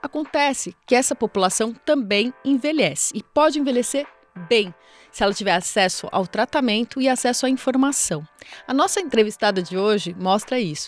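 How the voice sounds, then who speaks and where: With music in the background, a woman speaks at a fairly high pitch with lively intonation, and the sound is dry and close with no echo. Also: moderate pace. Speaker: podcast host. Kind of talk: podcast intro narration.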